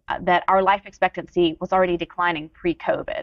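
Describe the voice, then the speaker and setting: A woman at a fairly quick pace, dry with no echo, against a quiet background. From US South, Georgia. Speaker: demographer. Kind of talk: interview. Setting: stage with audience. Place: stage.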